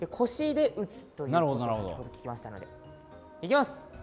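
Clear music plays in the background as a man speaks at a fairly quick pace. His loudness swings a lot. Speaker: voice actor. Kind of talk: casual variety show talk. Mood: light, slightly nervous. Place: gym.

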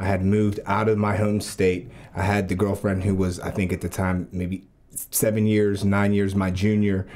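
At a moderate pace, a man speaks with monotone, flat intonation. His voice is fairly low, with light background noise behind it. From Pittsburgh; Pennsylvania. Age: 30s. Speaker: seminary student; podcast guest. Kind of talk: casual faith discussion. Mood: reflective, earnest. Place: studio. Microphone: studio mic.

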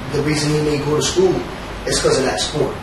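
A man speaks at a fairly quick pace in a fairly high pitch, with fairly even intonation, audible room echo and clear background noise.

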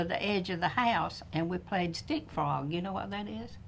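A woman with a Southern US accent at a moderate pace, over light background noise. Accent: Southern American. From northern Florida. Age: 90s. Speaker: oral history interviewee. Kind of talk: oral history interview.

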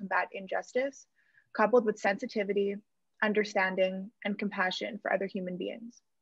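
Speaking at a very fast pace, a woman sounds somewhat breathy, her intonation fairly even. The sound is dry with no echo, and the background is quiet. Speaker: law student intern. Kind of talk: prepared opening remarks. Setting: video call. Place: home room. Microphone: earbuds.

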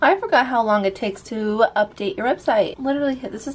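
A woman at a fairly quick pace, with ordinary pitch variation. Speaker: vlogger. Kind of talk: casual vlog chat. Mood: relaxed, light amused. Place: home room. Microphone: phone near.

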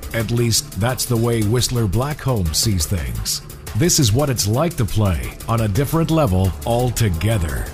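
Very wide pitch swings and very even loudness at a fairly slow pace, with music in the background. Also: man. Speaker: voice actor. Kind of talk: corporate narration. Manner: sincere, commanding, professional.

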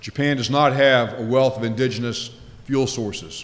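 A man speaks at a moderate pace in a medium pitch. His intonation stays monotone and flat. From Louisiana. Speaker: nuclear regulator, former naval officer; keynote speaker. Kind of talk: conference keynote speech. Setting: stage with audience. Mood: light humor early on. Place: hall. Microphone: podium.

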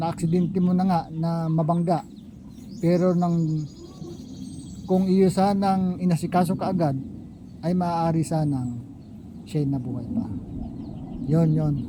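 The man speaks at a fairly slow pace, leaving long, frequent pauses. His intonation is fairly even, and audible room echo surrounds his voice. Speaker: vlogger. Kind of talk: opinion monologue. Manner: halting.

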